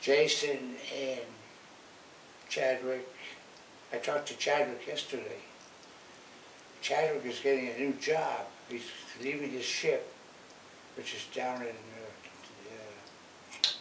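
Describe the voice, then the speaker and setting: Over noticeable background noise and audible room echo, a man with an American accent talks at a fairly slow pace in a monotone, flat delivery, with long, frequent pauses and big swings in loudness. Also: medium pitch for a man. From Washington, D.C. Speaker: grandfather. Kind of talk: casual chat. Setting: at home, filmed before church. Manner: halting.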